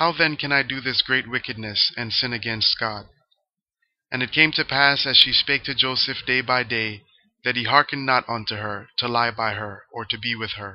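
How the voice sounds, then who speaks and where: A man talks at a moderate pace in a medium pitch. His intonation stays fairly even. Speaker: scripture reader. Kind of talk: reading aloud. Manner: clear.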